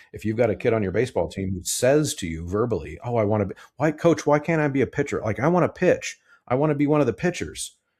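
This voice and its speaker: A man of medium pitch talks at a very fast pace with very wide pitch swings and vocal fry. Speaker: choir director and podcast host. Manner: halting, many fillers.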